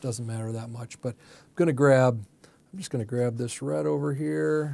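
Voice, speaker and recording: A man mumbles in a relaxed tone at a moderate pace, his medium-pitched voice dark and mellow. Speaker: art teacher and ministry coach. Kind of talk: tutorial. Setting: art studio. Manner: mumbling, thinking aloud; casual, relaxed.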